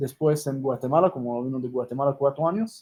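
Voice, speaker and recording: A man speaks in a fairly high, somewhat breathy voice. His tone is dark and mellow, with ordinary pitch variation. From Israel, Jerusalem. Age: 30s. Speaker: rabbi and humanitarian organization founder. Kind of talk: interview.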